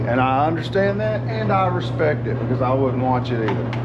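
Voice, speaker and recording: Over noticeable background noise and audible room echo, a man speaks with a Southern US accent. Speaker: car mechanic YouTuber. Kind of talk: casual workshop vlog. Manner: loud.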